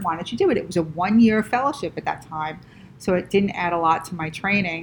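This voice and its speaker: A woman speaks with an American accent at a medium pitch, sounding somewhat breathy. Her pace is fairly quick and her intonation lively. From US Northeast, Rockland County, New York. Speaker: vascular surgeon and professor. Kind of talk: interview.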